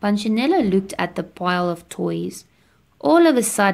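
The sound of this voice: The speaker uses an unforced reading voice. The delivery stays unforced throughout.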